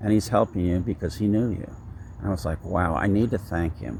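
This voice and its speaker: This man talks in a fairly low voice with vocal fry. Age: 70s. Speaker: vlogger. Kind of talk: personal vlog monologue. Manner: halting, many fillers.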